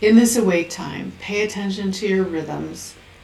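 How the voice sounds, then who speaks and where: With music in the background, a woman speaks fairly slowly in a calm, soothing tone with fairly even intonation. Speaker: oracle deck artist and author. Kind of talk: spiritual reading of oracle card text.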